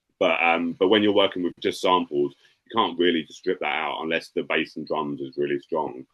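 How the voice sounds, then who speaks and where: A man speaks with a southern English accent. His pace is moderate. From England, Brighton. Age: 40s. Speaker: rapper. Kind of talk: casual chat. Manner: halting.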